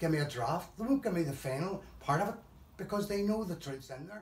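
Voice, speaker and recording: With lively intonation, a man talks in a high pitch. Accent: Belfast. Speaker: bereaved relative of a conflict victim. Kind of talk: testimony.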